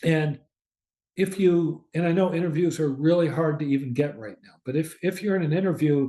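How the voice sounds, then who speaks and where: A man with a Midwestern US accent, fairly high in pitch, with a dark, mellow tone, fairly even intonation and a fairly slow pace. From US Midwest. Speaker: professor. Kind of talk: lecture.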